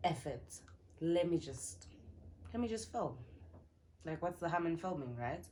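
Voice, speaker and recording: A woman speaks at a fairly slow pace in a fairly low, dark and mellow voice with vocal fry. Her intonation is lively, and she takes long, frequent pauses. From South Africa. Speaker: YouTuber. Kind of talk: storytime vlog, casual chat. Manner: animated.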